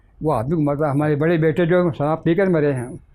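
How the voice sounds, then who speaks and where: This man's voice is fairly high-pitched with a dark, mellow tone. His intonation stays fairly even. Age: 80s+. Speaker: poet and retired professor. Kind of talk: interview answer.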